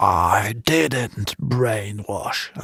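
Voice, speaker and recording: A man performs in a put-on character voice. He talks at a very slow pace. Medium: read story. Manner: curt, irritable.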